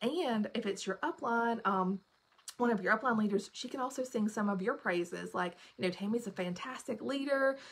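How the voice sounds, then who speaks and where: With a Southern US accent, a woman speaks at a fairly high pitch with ordinary pitch variation amid noticeable background noise. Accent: Southern US, self-described. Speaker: direct sales team leader. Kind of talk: live stream training talk. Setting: live video stream. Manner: fast.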